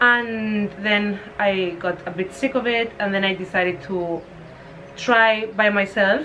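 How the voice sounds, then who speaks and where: A woman speaks at medium pitch and a fairly slow pace, with fairly even intonation. Audible room echo and noticeable background noise are present. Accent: Spanish. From Spain. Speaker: fashion entrepreneur. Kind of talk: casual interview. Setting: at her home in Spain.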